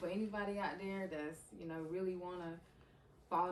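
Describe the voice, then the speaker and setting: A woman's fairly low voice in an American accent, fairly quick and fairly even in intonation, with noticeable background noise and audible room echo. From eastern North Carolina (Bailey). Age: 20s. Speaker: podcast guest, content creator. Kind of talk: casual interview conversation.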